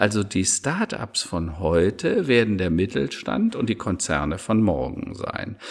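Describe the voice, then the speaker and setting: Vocal fry colors a man's fairly low voice with lively intonation. He talks at a very slow pace. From Rhineland, Germany. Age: 50s. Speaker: digital strategy consultant and keynote speaker. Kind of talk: podcast interview.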